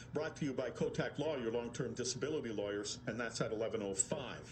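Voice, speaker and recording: Talking at a fairly quick pace, a man uses a plain, everyday voice at medium pitch with ordinary pitch variation. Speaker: radio host. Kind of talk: radio read of a written piece.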